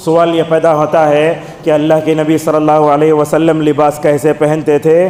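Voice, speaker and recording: Over noticeable background noise, a man talks in a fairly high, monotone, flat voice at very even loudness. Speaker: Islamic preacher delivering Friday sermon. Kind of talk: Friday sermon.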